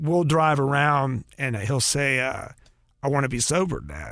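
A fairly high-pitched man with a Southern US accent. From North Carolina. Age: 50s. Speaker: rock guitarist. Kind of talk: casual interview.

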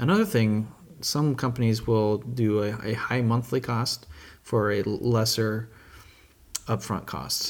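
Pausing long and often, a man talks at a fairly slow pace with medium pitch and fairly even intonation. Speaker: podcast host and web developer. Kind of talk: casual chat. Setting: secret podcast location with wine.

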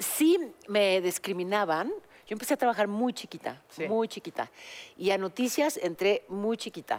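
A woman with an unremarkable speaking voice talks at medium pitch with lively intonation. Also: moderate pace. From Mexico. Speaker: podcast co-host, news journalist. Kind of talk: casual chat.

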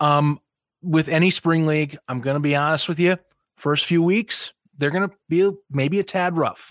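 A man's fairly high voice, a normal speaking voice, at a moderate pace with fairly even intonation, on a very clean recording with a silent background and a dry, close sound with no echo. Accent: American. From US Midwest, near Chicago. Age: 20s. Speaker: football podcaster. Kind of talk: casual chat.

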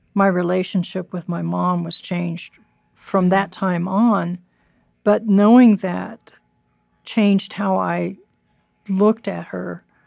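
A woman talks at a very slow pace, with long, frequent pauses. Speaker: retired pediatric physician, listener seeking advice. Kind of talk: personal testimony. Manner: halting.

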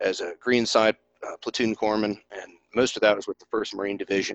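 A man speaks in an Appalachian accent with a fairly low pitch. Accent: Southern US (Appalachian), noticeable. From East Tennessee. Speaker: flight nurse and author. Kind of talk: casual interview chat. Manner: enthusiastic, animated.

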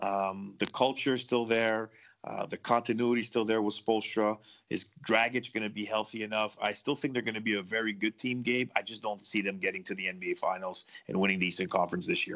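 Talking at a fairly quick pace, a man with an unremarkable speaking voice holds a fairly low pitch and fairly even intonation. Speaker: sports betting analyst. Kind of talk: casual chat.

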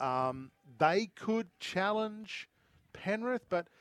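A man's animated tone in an Australian accent, with very wide pitch swings and a dry, close sound with no echo. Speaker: radio host. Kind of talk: live sports radio chat. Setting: outdoors at cricket oval. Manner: jokey, animated.

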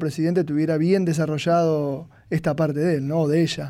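Over a silent background in a very clean recording, a man speaks with a high pitch at a moderate pace. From Argentina. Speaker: psychologist commentator. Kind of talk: radio panel commentary.

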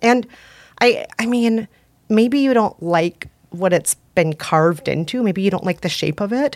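Speaking at a fairly slow pace with lively intonation, a woman with an American accent comes through on a very clean recording with a silent background. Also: medium pitch for a woman. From Minnesota. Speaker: podcaster and author. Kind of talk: casual chat.

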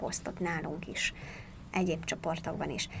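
A woman speaks at a moderate pace with vocal fry. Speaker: nutrition expert and author. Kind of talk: interview answering questions.

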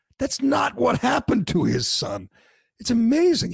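A man is speaking. His pace is moderate. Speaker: podcast host. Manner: sarcastic, mocking; opinionated, fired-up.

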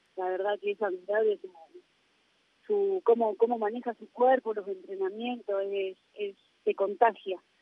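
In an ordinary speaking voice, a woman talks at a fairly slow pace and fairly high pitch, with ordinary pitch variation and big swings in loudness. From Argentina. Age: 20s. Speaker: professional footballer. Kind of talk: interview.

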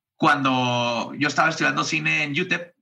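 A man speaks with a fairly high pitch and a bright, sharp tone. His intonation is fairly even, with vocal fry. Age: 30s. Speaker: comedian and podcast host. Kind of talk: casual interview chat.

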